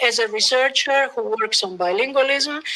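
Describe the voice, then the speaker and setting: A woman with an Italian accent speaks fairly slowly at a high pitch. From Italy. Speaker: professor, bilingualism researcher. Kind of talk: lecture.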